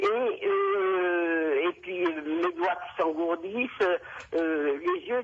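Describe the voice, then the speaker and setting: The woman's pitch is fairly low, with ordinary variation. She speaks at a very slow pace. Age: 80s+. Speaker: caller. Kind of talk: call-in radio conversation. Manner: halting, many hesitations.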